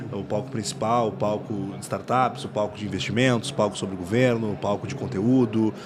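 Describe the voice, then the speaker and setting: Against noticeable background noise and audible room echo, a man talks at a fairly quick pace in a medium pitch with fairly even intonation. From Rio Grande do Sul, Brazil. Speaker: startup founder and CEO. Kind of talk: podcast interview. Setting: podcast booth at a conference.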